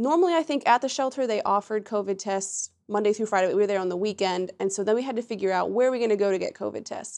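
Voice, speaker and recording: Over a quiet background, a woman with an American accent talks at a very fast pace. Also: medium pitch for a woman, ordinary pitch variation. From Pennsylvania. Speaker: student. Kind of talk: casual chat.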